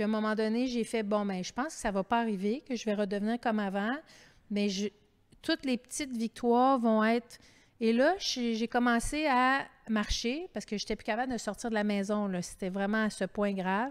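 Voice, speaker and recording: Fairly high female voice with ordinary pitch variation. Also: moderate pace. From Quebec. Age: 50s. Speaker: author and TV host; TV host. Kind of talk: public author interview. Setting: library terrace, livestreamed event. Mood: candid, animated. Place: hall. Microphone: handheld.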